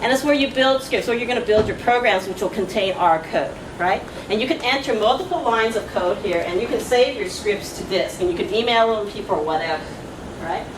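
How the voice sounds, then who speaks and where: Amid noticeable background noise and audible room echo, a woman speaks at a fairly quick pace and a fairly high pitch with lively intonation. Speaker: statistics professor. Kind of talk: lecture. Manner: fast; casual, chatty.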